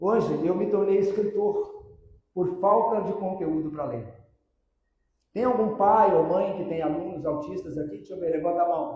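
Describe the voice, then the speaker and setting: In a room with audible echo, a man talks at a moderate pace in a high pitch. His tone is animated and his intonation lively. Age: 60s. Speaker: motivational speaker and illusionist. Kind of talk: public lecture to parents and teachers. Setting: stage with audience.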